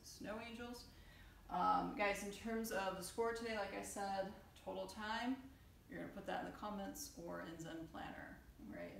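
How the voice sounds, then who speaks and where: A woman speaks at a moderate pace. There is audible room echo and light background noise. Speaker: fitness coach. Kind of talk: tutorial. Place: home room. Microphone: camera far.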